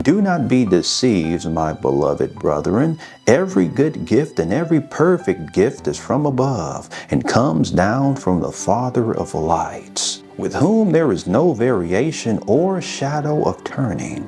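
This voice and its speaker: At a fairly slow pace with hardly any pauses, a man speaks at medium pitch with very wide pitch swings as music plays in the background. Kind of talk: scripture reading. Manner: calm, soothing.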